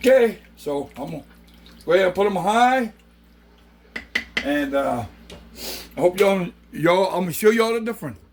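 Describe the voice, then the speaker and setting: A man's high-pitched, animated voice with very wide pitch swings, big swings in loudness and long, frequent pauses, against noticeable background noise. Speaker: home cooking youtuber. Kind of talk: casual cooking tutorial. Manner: casual, animated.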